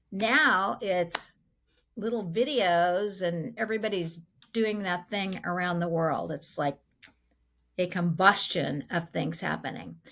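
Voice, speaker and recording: A woman with a normal speaking voice at medium pitch, lively in intonation, on a very clean recording with a silent background. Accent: American. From Southern California. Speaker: podcast host, financial planner. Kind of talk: casual chat.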